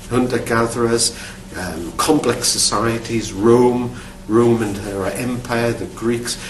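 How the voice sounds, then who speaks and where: A man with a Geordie accent speaks at a very slow pace and medium pitch, with noticeable background noise and audible room echo. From northern England, Newcastle upon Tyne. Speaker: archaeologist, university academic. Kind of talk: recorded talk about his career. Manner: halting, with repeated words and fillers.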